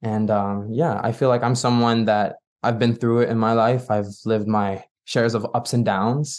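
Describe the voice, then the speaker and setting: A man talks at a medium pitch and moderate pace against a quiet background. His intonation is monotone and flat, his loudness very even. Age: 20s. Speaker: pop singer-songwriter. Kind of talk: interview.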